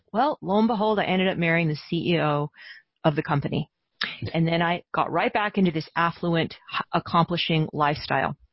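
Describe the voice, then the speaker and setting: Somewhat breathy and fairly low-pitched, a woman talks at a fairly quick pace with ordinary pitch variation and very even loudness. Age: 50s. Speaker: inner tracking coach. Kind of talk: interview, personal storytelling.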